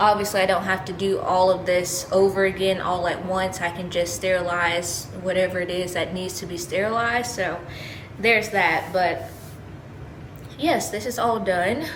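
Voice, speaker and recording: Amid noticeable background noise and audible room echo, a woman talks at a moderate pace. She has a medium pitch and fairly even intonation. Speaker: vlogger, expectant first-time mother. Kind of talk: casual vlog. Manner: casual, filler-heavy; halting, self-correcting.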